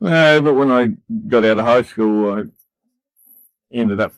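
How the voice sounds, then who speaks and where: A man with a New Zealand accent speaks at a medium pitch. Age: 60s. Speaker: civil engineer and rescue volunteer. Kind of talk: casual chat. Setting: barber chair.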